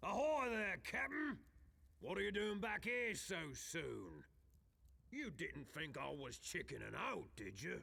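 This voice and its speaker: A man uses a put-on character voice that is raspy. He speaks at a fairly slow pace. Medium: video game. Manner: theatrical, laughing.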